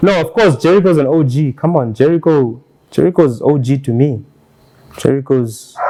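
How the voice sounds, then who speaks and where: A man's fairly high voice with ordinary pitch variation, at a moderate pace amid noticeable background noise. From Namibia. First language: Otjiherero. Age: young. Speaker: hip hop artist. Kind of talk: casual chat.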